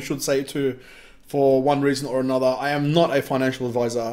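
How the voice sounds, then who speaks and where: Speaking at a fairly quick pace, a man with an Australian accent has a fairly high pitch. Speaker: crypto ICO reviewer. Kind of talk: casual video review. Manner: casual, with many fillers.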